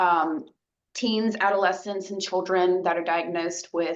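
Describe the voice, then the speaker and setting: Here a woman is speaking. Her pitch sits at a medium level with ordinary variation. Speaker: social worker and caregiver educator. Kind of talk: presentation. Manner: fast; many fillers, halting.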